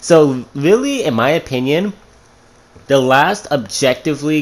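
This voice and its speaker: Fairly high pitch for a man, paired with ordinary variation in pitch. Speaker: gaming YouTuber. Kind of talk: unscripted video commentary. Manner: halting, tripping over words.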